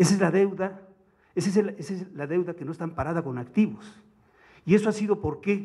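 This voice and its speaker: With a Mexican accent, a man speaks in a high, dark, mellow voice with ordinary pitch variation and big swings in loudness. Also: moderate pace, quiet background. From Mexico. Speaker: economics commentator. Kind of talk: academic seminar. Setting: seminar room with audience. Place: hall. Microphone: podium.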